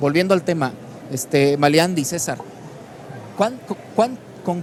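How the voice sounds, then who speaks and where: Intonation from this man is lively. Noticeable background noise runs underneath. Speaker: talk show host. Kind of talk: panel discussion. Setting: book fair broadcast set.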